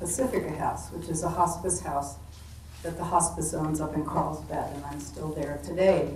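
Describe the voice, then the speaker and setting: A woman speaks at a moderate pace amid audible room echo and noticeable background noise. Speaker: retired nurse practitioner and hospice volunteer. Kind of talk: panel self-introduction. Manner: soft-spoken.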